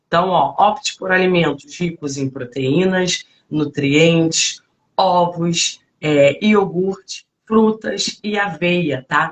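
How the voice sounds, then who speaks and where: A woman's fairly low voice with ordinary pitch variation, at a very slow pace. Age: 40s. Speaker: fitness coach. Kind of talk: live stream talk. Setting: online live stream. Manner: halting, many fillers.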